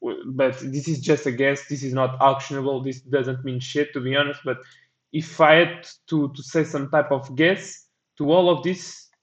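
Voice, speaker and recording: Speaking in a monotone with flat intonation, a man with a non-native accent talks at a fairly high pitch. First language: not English. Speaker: crypto trading analyst. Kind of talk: market analysis commentary. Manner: halting; casual.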